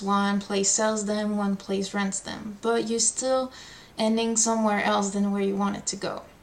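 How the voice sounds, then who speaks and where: A woman with a French accent speaks at a fairly slow pace in a fairly high pitch, her intonation monotone and flat. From France. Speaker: language tutor. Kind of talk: tutorial.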